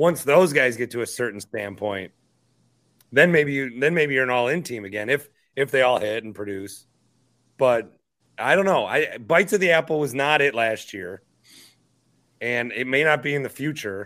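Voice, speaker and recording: In a very clean recording with a silent background, a man with an American accent speaks at a medium pitch and moderate pace, his bright, sharp tone carrying lively intonation between long, frequent pauses. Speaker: sports podcast host, former radio host. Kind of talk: live postgame sports talk show. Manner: casual, profane.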